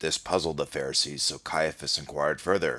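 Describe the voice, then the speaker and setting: A raspy man uses a put-on character voice in a solemn, deadpan tone, speaking at a fairly quick pace. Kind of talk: mock King James scripture reading. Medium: comedy sketch.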